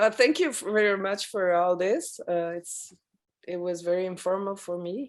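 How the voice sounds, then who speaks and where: A woman with a French accent at medium pitch and moderate pace, ordinary pitch variation, in a very clean recording with a silent background. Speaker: audience member in discussion forum. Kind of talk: casual video-call discussion. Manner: halting.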